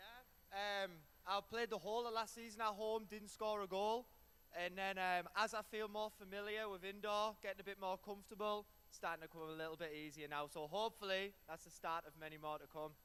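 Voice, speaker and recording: With an English accent, a man speaks at a fairly quick pace in a high pitch, his pitch varying in an ordinary way. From England. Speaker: soccer player. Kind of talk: post-game interview.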